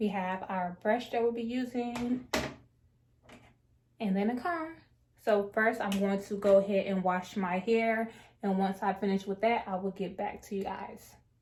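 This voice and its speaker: A woman speaks fairly slowly at a medium pitch, somewhat breathy, with fairly even intonation and long, frequent pauses. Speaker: natural hair vlogger. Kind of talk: hair tutorial. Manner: casual, conversational with fillers.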